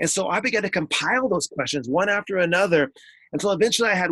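A man's high-pitched, energetic voice at a very fast pace, with lively intonation and a dry, close sound with no echo. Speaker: author and education speaker. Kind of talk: interview.

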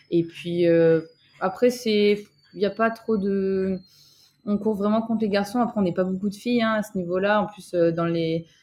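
A woman at medium pitch with fairly even intonation and long, frequent pauses. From southern France, Toulouse. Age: 20s. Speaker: track cyclist, Olympic athlete. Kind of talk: interview conversation.

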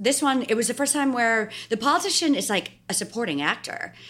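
At a fairly quick pace, a woman talks with an American accent. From New York. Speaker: political communications strategist. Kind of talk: interview.

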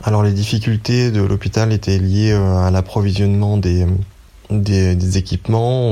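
Speaking at a fairly slow pace, a man uses a very deep, low pitch and a monotone, flat intonation. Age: 30s. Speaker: dentist volunteering in hospital. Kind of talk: testimony. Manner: halting.

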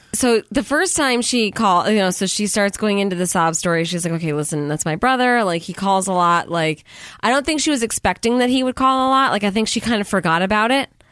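Delivered in a normal speaking voice, the speech moves at a fairly quick pace with lively intonation. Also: woman, medium pitch for a woman, hardly any pauses. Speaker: podcast host. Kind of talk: casual chat.

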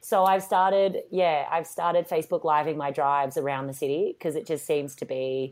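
In an Australian accent, a woman speaks at a moderate pace with a very deep, low pitch and lively intonation. The recording is very clean, with a silent background. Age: 30s. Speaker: TV personality and actress. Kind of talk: casual chat. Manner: animated.

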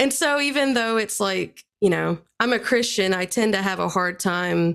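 At a moderate pace, a woman with medium pitch and vocal fry speaks in a very clean recording with a silent background. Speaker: podcast guest. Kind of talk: casual chat.

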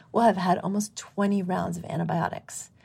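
The voice is somewhat breathy, with a dark, mellow tone and a monotone, flat intonation. The recording is very clean, with a silent background. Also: woman. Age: 50s. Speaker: midwife and medical doctor. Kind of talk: interview conversation. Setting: live recording venue.

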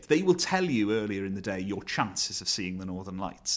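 A man talking at a very fast pace with lively intonation. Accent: South Wales. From Wales (Neath). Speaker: comedian and comedy writer. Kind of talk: casual chat.

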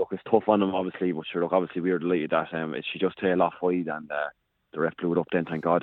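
With an Irish accent, a man speaks in a very deep, low pitch. His pace is very fast and his intonation monotone and flat. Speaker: hurler. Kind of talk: interview. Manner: halting.

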